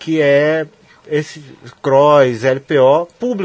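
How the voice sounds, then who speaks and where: A man speaks at a fairly high pitch. Background noise is noticeable. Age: 30s. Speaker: radio sports show host. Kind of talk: casual interview.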